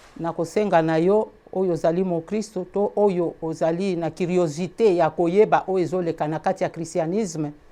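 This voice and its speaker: A woman's medium-pitched voice in a Congolese accent, dark and mellow in tone, with fairly even intonation. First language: Lingala (speaking French). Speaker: preacher. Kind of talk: sermon.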